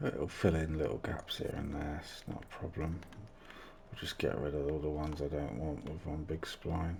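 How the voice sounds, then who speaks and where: A soft-spoken man with a very deep, low voice talks at a moderate pace in a flat monotone, somewhat breathy, with audible room echo. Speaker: video game course design YouTuber. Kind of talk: tutorial. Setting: home recording, family in bed. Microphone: mic turned right up, may sound quiet.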